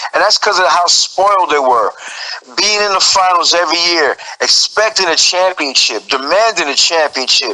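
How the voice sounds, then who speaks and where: With an American accent, a man talks at a moderate pace in a high pitch, with ordinary pitch variation, very even loudness and noticeable background noise. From New York. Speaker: guest, sports fan. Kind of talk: heated debate.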